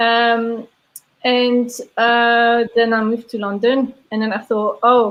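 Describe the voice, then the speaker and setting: Very slow, monotone speech with flat intonation in a Belgian accent. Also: woman, fairly high pitch for a woman. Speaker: brewery sales and taproom manager. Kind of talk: casual interview chat.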